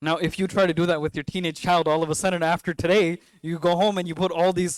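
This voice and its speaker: A man with a New York accent talks very fast at a high pitch in an animated tone, on a very clean recording with a silent background and a dry, close sound with no echo. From New York City. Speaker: Islamic scholar, former imam. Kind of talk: talk at a mosque.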